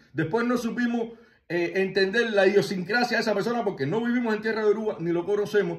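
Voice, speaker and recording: Against noticeable background noise, a high-pitched man talks at a very fast pace with ordinary pitch variation. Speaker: spiritual tradition teacher. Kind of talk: video monologue.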